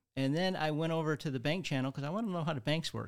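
On a very clean recording with a silent background, a man with a Midwestern American accent speaks with ordinary pitch variation. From Michigan (Redford). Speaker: financial advisor. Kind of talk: casual interview.

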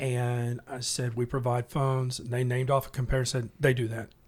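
Somewhat breathy and with a Tennessee accent, the voice moves at a fairly quick pace on a very clean recording with a silent background. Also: man. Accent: Southern US (Tennessee). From Middle Tennessee (west of Nashville). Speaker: salesperson. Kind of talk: casual chat. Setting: studio.

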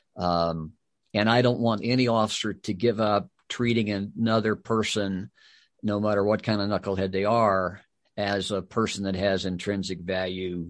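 Quiet background, a man at a moderate pace. His pitch is fairly low and his intonation fairly even. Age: 60s. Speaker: retired police chief and author. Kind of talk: podcast interview. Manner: conversational, hesitant, many fillers.

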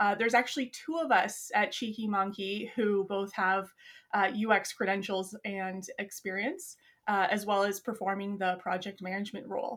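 In a very clean recording with a silent background, a woman with a Canadian accent and an unremarkable speaking voice talks at a moderate pace, her medium pitch held in fairly even intonation. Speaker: UX designer and project manager. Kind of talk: casual interview.

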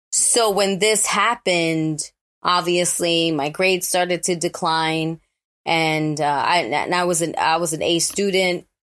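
On a very clean recording with a silent background, a woman with a New York accent speaks at a fairly low pitch and very even loudness. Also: fairly slow pace. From New York, the Bronx. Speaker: actor and author. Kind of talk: interview.

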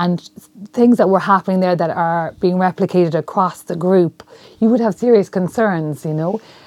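A woman with an Irish accent speaks at a moderate pace and medium pitch, with ordinary pitch variation and a dry, close sound with no echo. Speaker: journalism lecturer. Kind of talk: panel discussion. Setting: university room.

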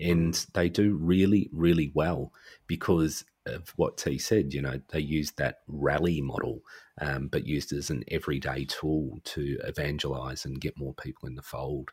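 At a moderate pace, a man talks with a very deep, low pitch, vocal fry, and fairly even intonation. The recording is very clean, with a silent background. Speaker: podcaster and social worker. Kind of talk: casual chat.

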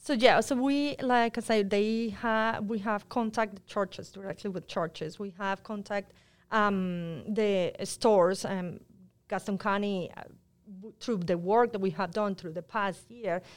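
In a Spanish accent, a woman speaks at a fairly slow pace with a medium pitch and ordinary pitch variation, on a very clean recording with a silent background. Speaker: public health outreach worker. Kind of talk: interview.

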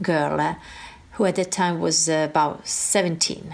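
A woman is speaking. She talks with an Italian accent. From northern Italy (Piedmont). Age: 50s. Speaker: life coach and author. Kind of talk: improvised personal testimony. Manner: hesitant, many fillers.

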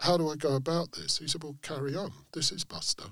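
At a moderate pace, the speaker has a bright, sharp tone with vocal fry. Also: man. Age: 60s. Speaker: author and music writer. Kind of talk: interview.

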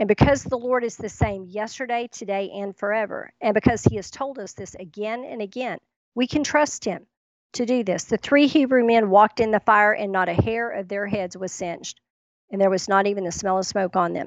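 A woman speaks in a normal speaking voice at a medium pitch and a fairly quick pace, with ordinary pitch variation and big swings in loudness. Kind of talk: radio ministry talk.

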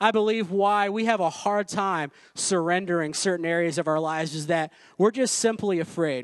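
An animated tone with ordinary pitch variation at a moderate pace, against a quiet background. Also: man, high pitch for a man. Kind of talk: sermon. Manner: animated, fervent preacher-style delivery with audience call-and-response; bold, exhortative, building momentum.

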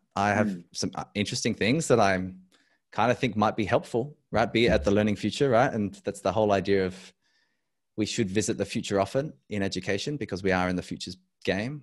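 A man with an Australian accent talks with ordinary pitch variation. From Adelaide, South Australia. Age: 30s. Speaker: educator and leadership consultant. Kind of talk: casual interview. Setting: video call.

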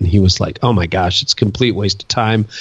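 A man with a Canadian accent speaks in a normal speaking voice, his fairly low pitch held to a fairly even intonation. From Ontario, Canada. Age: 50s. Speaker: pastor and author. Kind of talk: interview.

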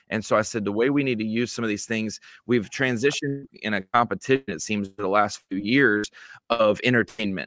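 On a very clean recording with a silent background, a man with a plain, everyday voice speaks at a fairly quick pace, fairly low in pitch, with fairly even intonation and a dry, close sound free of echo. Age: 30s. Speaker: bass fishing media personality. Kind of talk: casual interview.

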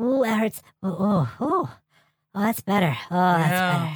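Very slow and raspy, this put-on character voice sits at a middle pitch. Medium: actual play. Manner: eager, goofy.

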